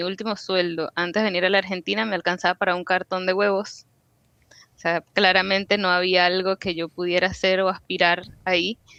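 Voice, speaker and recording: A woman's medium-pitched voice, bright and sharp in tone, with monotone, flat intonation at a fairly quick pace, in a dry, close sound with no echo. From Venezuela. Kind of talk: interview.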